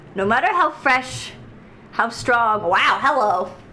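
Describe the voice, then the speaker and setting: Speaking very slowly, a woman moves her pitch through very wide swings, with noticeable background noise and audible room echo. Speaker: video game streamer. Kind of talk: live gameplay stream commentary; reading aloud in-game text. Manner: animated.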